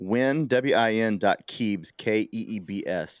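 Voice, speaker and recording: On a very clean recording with a silent background and a dry, close sound with no echo, a man with an American accent uses a normal speaking voice and ordinary pitch variation. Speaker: rugby podcast host. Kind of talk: casual banter. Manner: joking, bawdy.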